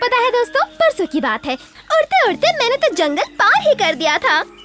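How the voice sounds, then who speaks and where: Over clear music in the background, a cartoonish character voice squeaks at an extremely high pitch with very wide pitch swings. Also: moderate pace. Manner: chattering, excitable.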